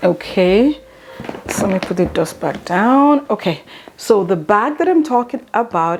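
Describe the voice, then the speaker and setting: Noticeable background noise runs under this clip. A woman speaks at medium pitch with very wide pitch swings. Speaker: beauty and luxury vlogger. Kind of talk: unboxing haul video. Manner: halting, stuttering.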